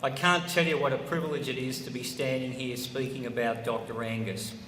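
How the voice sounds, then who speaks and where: A man with an Australian accent talks at a medium pitch, with audible room echo and noticeable background noise. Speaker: former politician and law professor. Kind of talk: ceremony speech. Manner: slow.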